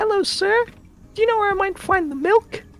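Faint music plays behind a woman using a put-on character voice at an extremely high pitch with ordinary pitch variation. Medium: machinima. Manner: polite, wondering.

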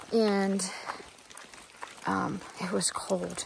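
The sound is dry, with no echo. Noticeable background noise runs underneath. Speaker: hiker vlogger. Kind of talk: casual vlog chat. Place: forest. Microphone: phone near.

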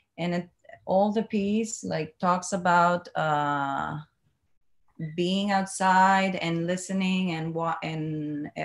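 Speaking with a Cuban accent, a woman has fairly low pitch and fairly even intonation. She talks at a very slow pace against a quiet background. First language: Spanish. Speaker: dancer. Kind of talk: panel discussion. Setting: video call. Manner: halting. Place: home room. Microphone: video call.

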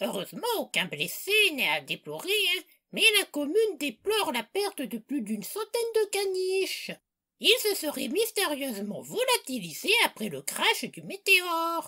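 A shrill, cartoonish character voice at an extremely high pitch moves at a moderate pace. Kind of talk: comedy parody news bulletin.

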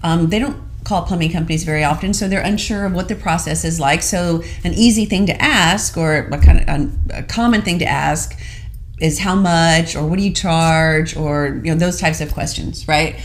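A woman speaks at a moderate pace with ordinary pitch variation and a fairly low pitch. It is an unremarkable speaking voice. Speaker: show co-host. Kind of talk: business talk show explanation. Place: studio.

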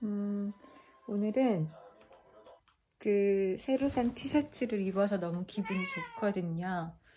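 Speaking very slowly with long, frequent pauses, a woman holds a medium pitch with ordinary pitch variation. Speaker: vlogger. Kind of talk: casual vlog monologue. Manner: rambling, halting.

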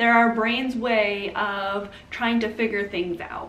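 Audible room echo around a woman's fairly slow speech. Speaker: comedy skit creator. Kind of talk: casual vlog chat. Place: home room.

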